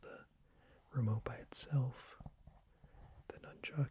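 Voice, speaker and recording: A man is whispering. His voice is somewhat breathy. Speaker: ASMR creator. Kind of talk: ASMR whisper video. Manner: whispered.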